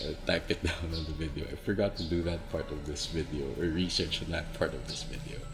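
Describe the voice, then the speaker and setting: A soft-spoken man talks with a very deep, low pitch. Audible room echo and music in the background accompany him. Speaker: plant vlogger. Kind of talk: ASMR tutorial. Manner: whispering.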